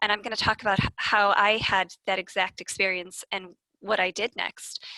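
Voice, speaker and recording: In an American accent, a woman speaks at a moderate pace in a flat monotone, her tone bright and sharp, the sound dry and close with no echo against a quiet background. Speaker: lecturer. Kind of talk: conference presentation. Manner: halting, many fillers.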